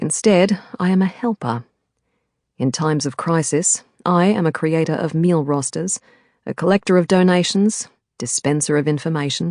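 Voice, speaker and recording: With an Australian accent, a woman speaks at a moderate pace in a very deep, low pitch with ordinary pitch variation. The sound is dry and close with no echo, and the background is quiet. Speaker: audiobook narrator. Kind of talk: audiobook narration of a thriller novel.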